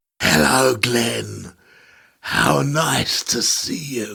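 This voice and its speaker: Using a put-on character voice, a man speaks at a very slow pace. His voice is raspy with medium pitch. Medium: audio drama. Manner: mocking, menacing, laughs at his own remarks.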